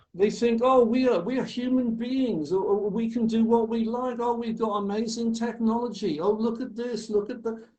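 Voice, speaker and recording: The voice moves at a moderate pace with hardly any pauses and fairly even intonation. Audible room echo surrounds it. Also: man, extremely high pitch for a man. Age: 70s. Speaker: naturalist and author. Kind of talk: podcast interview.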